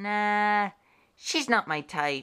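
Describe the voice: Using a cartoonish character voice, a woman speaks very slowly at a medium pitch, her tone bright, sharp, clear and smooth, with lively intonation.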